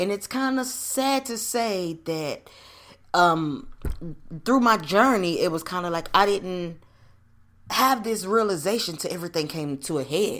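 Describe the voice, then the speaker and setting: A woman speaks at a fairly slow pace with lively intonation. She leaves long, frequent pauses. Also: medium pitch for a woman. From US South (Nashville, Tennessee and Roanoke, Virginia). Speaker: podcast host. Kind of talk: personal storytelling monologue. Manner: casual, conversational with many fillers.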